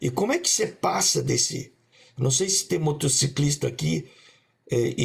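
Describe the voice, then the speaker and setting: A man's fairly high-pitched voice with vocal fry. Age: 60s. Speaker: coach and panelist. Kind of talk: panel discussion. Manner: halting, many repetitions.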